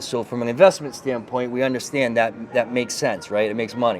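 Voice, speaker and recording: Fairly quick talk from a man with a Boston accent and medium pitch, over noticeable background noise. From Boston, US. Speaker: network marketing leader. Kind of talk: interview. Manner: animated, with many fillers.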